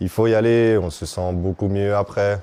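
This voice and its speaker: A man talks with a fairly low pitch. His pace is very slow. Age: 30s. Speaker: patient testimony, person with bleeding disorder. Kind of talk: testimony. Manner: hesitant, with fillers.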